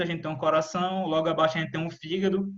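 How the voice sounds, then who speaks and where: A man speaks with fairly even intonation. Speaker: student researcher presenting seminar. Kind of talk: online seminar presentation. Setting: video call. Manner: fast.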